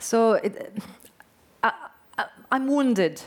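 Speaking very slowly, a woman with a French accent uses ordinary pitch variation. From French Basque Country. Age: 40s. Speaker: novelist. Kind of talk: on-stage interview.

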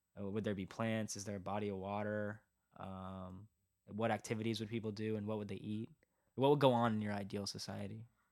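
This man's fairly low voice moves at a fairly quick pace in a flat, monotone delivery. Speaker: podcast host. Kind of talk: casual chat.

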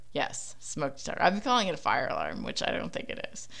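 A woman's bright, sharp tone with a Philadelphia accent. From Philadelphia, US. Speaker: podcaster. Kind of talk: casual solo monologue. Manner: casual, filler-heavy.

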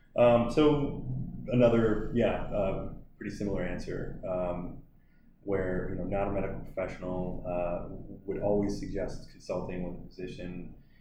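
Moderate pace and ordinary pitch variation in an American accent, with audible room echo. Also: man, fairly low pitch for a man. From US Midwest, Milwaukee area. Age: 30s. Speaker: CBD shop owner. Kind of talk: podcast interview.

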